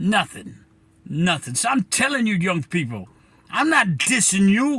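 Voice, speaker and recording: A raised, projected voice with an American accent, fairly slow in pace, bright and sharp in tone, with very wide pitch swings, in a very clean recording over a silent background. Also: man, high pitch for a man. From New Bedford, Massachusetts. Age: 70s. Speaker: community commentator. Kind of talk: direct-to-camera monologue. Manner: impassioned, emphatic; halting with repetitions.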